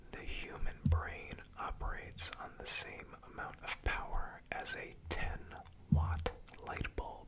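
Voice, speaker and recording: Whispering at a very slow pace, a man uses a calm, soothing tone over noticeable background noise. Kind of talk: ASMR fun facts reading. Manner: whispered; soft-spoken, calm, soothing.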